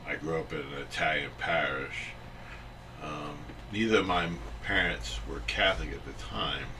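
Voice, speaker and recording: A man with a very deep, low pitch speaks at a moderate pace, his pitch swinging very widely and his loudness rising and falling sharply. Long, frequent pauses break up his speech, and audible room echo and noticeable background noise fill the recording. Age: 60s. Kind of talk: interview. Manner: halting, many fillers.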